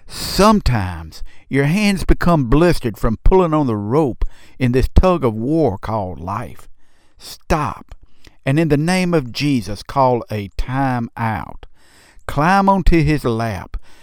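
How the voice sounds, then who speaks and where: Speaking at a very slow pace in a Southern US accent, a man lets his pitch swing very widely. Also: medium pitch for a man. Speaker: pastor. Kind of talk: devotional guided meditation, second-person invitation to rest in Jesus' presence. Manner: slow, soothing cadence with hushed repeated refrain; gentle, tender, pastoral reassurance.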